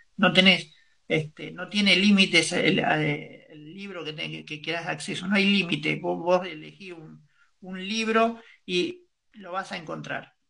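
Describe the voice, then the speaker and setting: A man's fairly slow delivery with big swings in loudness. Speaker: radio host. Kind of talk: news reading.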